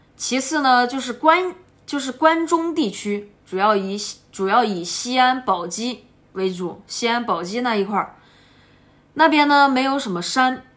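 A woman with a southern Shaanxi accent talks at a fairly slow pace in a high pitch with lively intonation. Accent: Sichuan-like southern Shaanxi dialect. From Shaanxi, Ankang (southern Shaanxi). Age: 20s. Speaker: motorcycle traveller vlogger. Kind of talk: casual travel vlog talk. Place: home room. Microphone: phone near.

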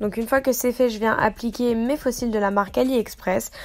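Here is a woman with an ordinary speaking voice. Her pitch is fairly high and her intonation fairly even. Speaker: beauty youtuber. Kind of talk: makeup tutorial. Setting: voice-over.

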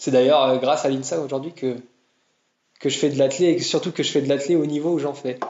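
The speaker is a man with a fairly high voice. His intonation stays flat and monotone. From France, Tours. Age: 20s. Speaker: marathon runner and engineer. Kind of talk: casual interview. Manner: halting, many repetitions and fillers.

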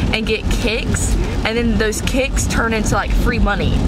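With music playing behind it, the speech proceeds at a middling rate. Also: woman. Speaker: vlogger. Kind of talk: casual vlog chat. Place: car.

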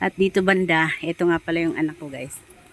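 A woman's unremarkable speaking voice, fairly low-pitched and fairly quick, with fairly even intonation and a dry, close sound free of echo. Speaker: vlogger, overseas domestic worker. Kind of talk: casual vlog narration. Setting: outdoors.

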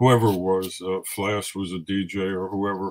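Over a quiet background, a man with a New York accent speaks at a moderate pace. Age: 70s. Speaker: hip hop photographer. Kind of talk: casual interview. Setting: radio studio. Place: home room. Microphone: webcam.

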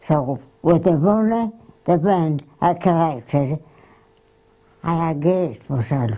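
Pausing long and often, a woman talks at a very slow pace in a fairly low voice with lively intonation and a dark, mellow tone. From Wakefield area, Yorkshire, England. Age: 80s+. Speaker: grandmother recalling her life. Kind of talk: interview answer. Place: home room. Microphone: lapel.

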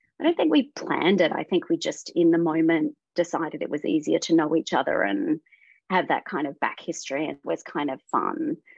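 Against a quiet background, a woman with an Australian accent is heard in a dry sound with no echo. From Western Australia. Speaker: voice actor; guest actor. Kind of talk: casual interview. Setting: video call. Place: home room. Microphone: video call.

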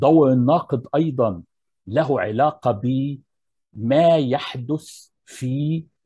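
Against a quiet background, a man talks at a very slow pace in a dark, mellow tone that is somewhat breathy, with ordinary pitch variation. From Egypt. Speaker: architecture professor. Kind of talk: lecture. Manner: formal. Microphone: earbuds.

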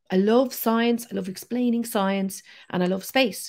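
With an Irish accent, a woman speaks at a fairly slow pace in a fairly high pitch, her intonation fairly even. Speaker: science communicator. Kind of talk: interview.

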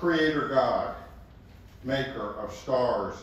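A man is speaking. His voice carries strong room echo. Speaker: pastor leading a service. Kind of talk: welcome and prayer. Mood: calm solemn. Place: hall.

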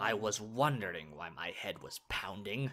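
A man performs here. He uses a put-on character voice. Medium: audio drama. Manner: scornful, haughty.

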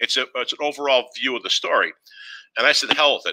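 A man with a Boston accent speaks at a very fast pace against a quiet background. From Boston, Massachusetts. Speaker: former wrestling TV writer and artist. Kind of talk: live interview. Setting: video call. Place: home room. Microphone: headset.

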